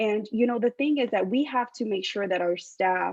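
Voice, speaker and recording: A woman speaks with a Spanish accent. The sound is dry and close, without echo. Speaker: political candidate. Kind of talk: candidate forum answers. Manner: hesitant, many filler ums.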